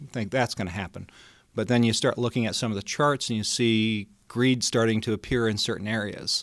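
A man with an American accent and medium pitch speaks at a very fast pace with fairly even intonation on a very clean recording with a silent background. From Colorado, Denver. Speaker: investment wholesaler. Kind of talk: interview.

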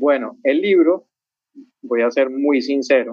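Fairly slow in pace, a man talks at a fairly high pitch with ordinary pitch variation. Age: 50s. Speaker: author and traveler. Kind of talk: interview.

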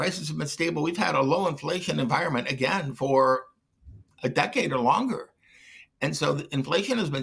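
A man with an American accent talks at a fairly quick pace with lively intonation. His fairly high voice has a bright, sharp tone and vocal fry. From US Midwest, Detroit. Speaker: economist. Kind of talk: interview.

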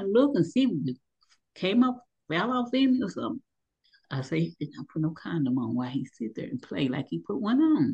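Vocal fry and very wide pitch swings at a fairly quick pace. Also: woman. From Louisville, Kentucky. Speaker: abuse survivor, poet and motivational speaker. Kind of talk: testimony.

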